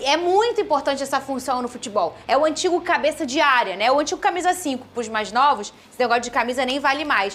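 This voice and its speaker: Against noticeable background noise, a woman with a high voice talks very fast, with lively intonation and hardly any pauses. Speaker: sports show host. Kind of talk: studio panel discussion. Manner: soft-spoken.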